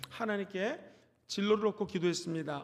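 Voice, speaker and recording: The man's pitch is high. He moves at a moderate pace. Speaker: pastor. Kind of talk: sermon. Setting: church.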